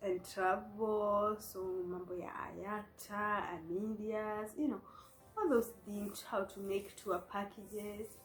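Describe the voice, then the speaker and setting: A woman at a medium pitch, monotone and flat, very slow, with big swings in loudness and noticeable background noise. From Kenya. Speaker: vlogger sharing life story. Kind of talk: personal testimony. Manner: code-switching English and Swahili.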